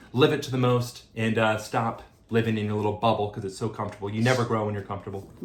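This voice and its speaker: The speech comes at a very fast pace in a monotone, flat intonation over noticeable background noise. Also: man, fairly low pitch for a man. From US. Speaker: dating vlogger and podcast host. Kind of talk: casual chat.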